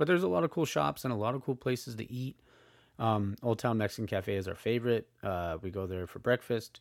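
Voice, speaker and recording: A man at medium pitch and a fairly quick pace, on a very clean recording with a silent background. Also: lively intonation. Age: 30s. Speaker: podcast host. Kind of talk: solo monologue. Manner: halting, many fillers.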